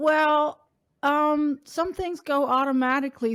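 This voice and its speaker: With a Dutch accent, the speaker goes at a fairly slow pace in a very clean recording with a silent background and a dry, close sound with no echo. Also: woman. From Netherlands. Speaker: accessibility advocate. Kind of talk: interview. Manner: halting, many fillers.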